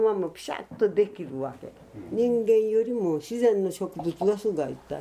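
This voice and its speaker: Her voice has a fairly high pitch, lively intonation and a dark, mellow tone, this woman speaking. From Miyazaki, Kyushu (rural mountain village). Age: 80s+. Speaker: traditional slash-and-burn farmer. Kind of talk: interview.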